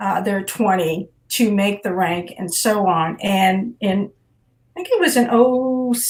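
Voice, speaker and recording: At a very slow pace, a somewhat breathy woman with an American accent speaks at medium pitch with ordinary pitch variation. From Nebraska, USA. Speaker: retired Army colonel, physician assistant. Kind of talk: interview answer. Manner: conversational, hesitant.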